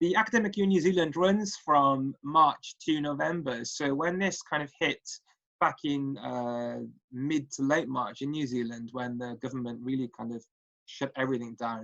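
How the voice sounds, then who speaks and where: Speaking at a moderate pace in a Welsh accent, a man has a fairly high pitch and a bright, sharp tone. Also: ordinary pitch variation. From Wales, Cardiff. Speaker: statistics lecturer. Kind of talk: recorded presentation. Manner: hesitant, many fillers.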